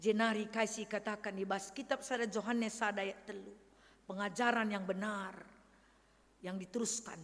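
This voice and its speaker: Her intonation is fairly even at a medium pitch. The woman speaks at a fairly slow pace. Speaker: pastor. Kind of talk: sermon. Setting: church.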